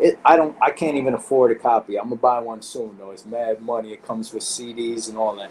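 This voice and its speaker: Over noticeable background noise, a man talks with a New York accent. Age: 50s. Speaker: graffiti artist. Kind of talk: interview. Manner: animated.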